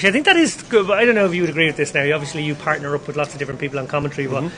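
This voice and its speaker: Through noticeable background noise, a man talks very fast at a fairly high pitch. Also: ordinary pitch variation. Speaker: poker commentator. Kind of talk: live commentary. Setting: live stream.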